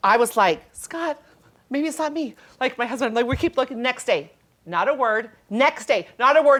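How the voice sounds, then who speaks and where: The voice is loud and animated, with lively intonation. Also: woman, high pitch for a woman, moderate pace. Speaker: guest co-host, mom of eight. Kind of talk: casual chat.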